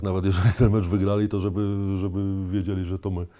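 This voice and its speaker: Dark, mellow tone from a man, captured in a very clean recording against a silent background. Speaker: retired basketball player and local politician. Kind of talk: casual chat. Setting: at his home.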